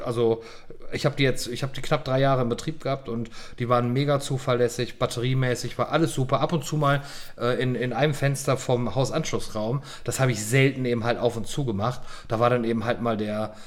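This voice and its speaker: Delivered at a fairly quick pace, an unremarkable speaking voice keeps a fairly even intonation. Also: man, medium pitch for a man. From western Germany, Lower Rhine. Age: 40s. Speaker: podcast co-host, IT security business owner. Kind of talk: casual chat.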